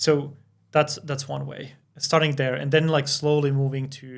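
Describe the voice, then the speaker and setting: The man talks at a moderate pace and a medium pitch. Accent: Finnish. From Finland. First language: Finnish. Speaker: crypto company founder. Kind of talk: podcast interview. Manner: halting, many fillers.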